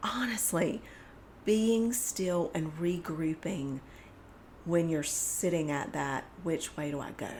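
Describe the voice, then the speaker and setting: Speaking in a Southern US accent, a woman with a fairly low pitch and ordinary pitch variation talks at a very slow pace with long, frequent pauses. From US South. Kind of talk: casual faith discussion.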